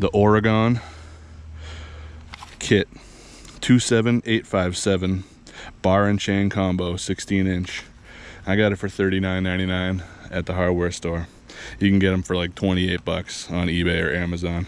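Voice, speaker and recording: A man with a very deep, low voice speaks at a moderate pace with fairly even intonation and long, frequent pauses, in a dry sound with no echo. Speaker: homeowner doing a tool review. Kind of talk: casual product review commentary. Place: garden. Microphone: phone near.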